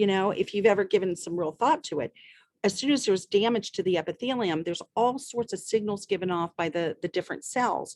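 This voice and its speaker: A woman speaks at a fairly quick pace in a normal speaking voice, medium in pitch with lively intonation. The sound is dry and close with no echo, over a quiet background. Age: 60s. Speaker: medical doctor. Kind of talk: interview answering questions.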